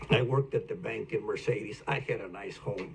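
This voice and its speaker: A man with an American accent speaks at a moderate pace. Noticeable background noise can be heard. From South Texas, Rio Grande Valley. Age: 80s+. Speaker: retired banker, local elder. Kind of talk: oral history interview.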